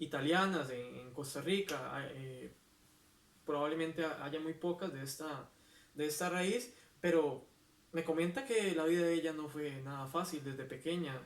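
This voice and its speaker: With a plain, everyday voice, a man talks at a fairly slow pace, his pitch fairly high with ordinary variation. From Costa Rica. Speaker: poet. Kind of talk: interview answer.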